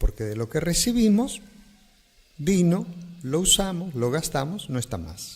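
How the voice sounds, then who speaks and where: Pausing long and often, a man speaks at a fairly slow pace with a fairly high pitch and very wide pitch swings. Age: 60s. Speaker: pastor. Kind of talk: interview answer. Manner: plain, simple speech.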